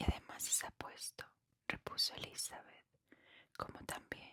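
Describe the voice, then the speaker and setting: Someone is whispering at a fairly slow pace. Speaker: ASMR book reader. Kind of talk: whispered bedtime reading of a novel, ASMR. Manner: whispered, soft.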